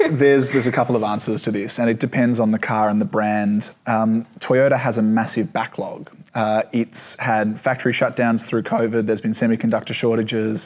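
A man with an Australian accent speaks at a fairly quick pace with hardly any pauses. His medium pitch holds fairly even intonation and very even loudness. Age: 20s. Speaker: motoring journalist. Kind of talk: casual chat.

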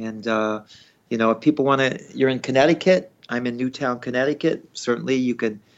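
Speaking in an ordinary speaking voice, a man keeps a moderate pace, his pitch medium with ordinary variation. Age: 60s. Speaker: veterinarian. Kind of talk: interview.

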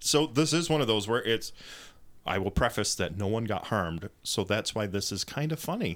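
With lively intonation, a man with an unremarkable speaking voice and a fairly low pitch speaks at a moderate pace in a very clean recording with a silent background. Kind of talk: casual chat. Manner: joking, playful.

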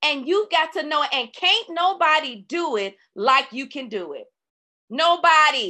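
Her voice raised and projected, a woman speaks at a high pitch with a bright, sharp tone, very wide pitch swings and a fairly slow pace. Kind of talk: faith-based teaching session. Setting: live online call recorded for podcast. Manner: runs out of breath while speaking.

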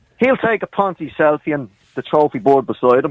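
In a Dublin accent, a man talks with very wide pitch swings. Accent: Dublin Irish. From Dublin, Ireland. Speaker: caller. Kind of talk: heated debate. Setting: phone call.

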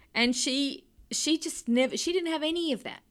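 In a very clean recording with a silent background, a woman with an Australian accent speaks at a moderate pace. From Sydney, Australia (North Shore). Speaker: cartoonist. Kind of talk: interview conversation. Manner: halting.

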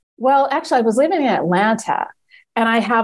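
In an American accent, a woman speaks fairly quickly with ordinary pitch variation on a very clean recording with a silent background. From Maryland. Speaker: food journalist and awards judge. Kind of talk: casual interview. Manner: animated.

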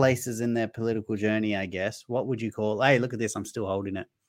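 A man talks in an ordinary speaking voice. His intonation stays fairly even. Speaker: comedian and livestream host. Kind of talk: casual chat. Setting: video call.

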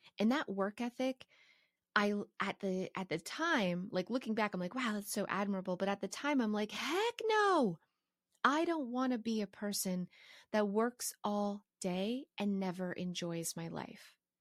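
Recorded very cleanly with a silent background and a dry, close sound with no echo, a woman with a plain, everyday voice speaks fairly slowly at a medium pitch with lively intonation. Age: 40s. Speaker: podcast host. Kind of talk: solo podcast monologue. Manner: casual, conversational.

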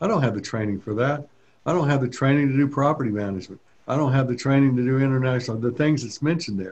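This man talks at a very fast pace, his voice somewhat breathy. His pitch rises and falls in an ordinary way. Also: medium pitch for a man. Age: 70s. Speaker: land broker and instructor. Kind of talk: interview.

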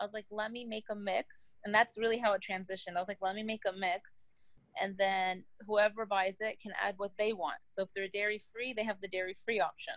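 A woman with an American accent talks at a medium pitch in a normal speaking voice. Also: fairly even intonation, fairly quick pace. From Texas. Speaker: business founder. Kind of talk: interview.

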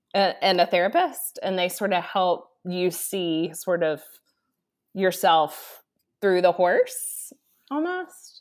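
At a very slow pace, a woman with an American accent speaks at medium pitch with fairly even intonation. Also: very clean recording, silent background. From Texas, Dallas. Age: 40s. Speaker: retreat center leader, former ministry executive. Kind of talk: podcast interview.

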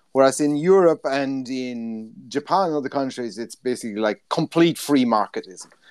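Heard in a very clean recording with a silent background, a man with an Irish accent talks at a moderate pace with ordinary pitch variation. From Ireland. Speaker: sports journalist. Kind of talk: casual chat.

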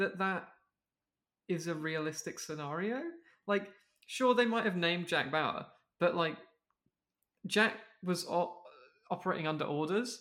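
At a moderate pace, a raised, projected voice comes through with a bright, sharp tone. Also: man. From Wales. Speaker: podcast co-host. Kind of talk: casual comedic podcast banter. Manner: profane, casual, joking.

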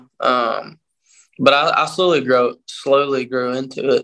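Here a man talks with a Southern US accent. He keeps a fairly slow pace. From Statesboro, Georgia. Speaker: country singer-songwriter. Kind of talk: interview.

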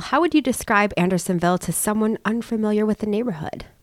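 On a very clean recording with a silent background, a woman with a fairly high pitch talks at a fairly quick pace, her pitch swinging very widely. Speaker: podcast host. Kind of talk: casual interview. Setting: studio.

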